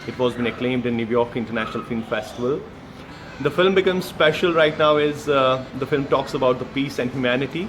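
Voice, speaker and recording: Noticeable background noise sits behind a man speaking at a very fast pace. His medium-pitched voice shows ordinary pitch variation. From Kashmir, India. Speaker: actor and film director. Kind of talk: interview answer. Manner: hesitant, many fillers.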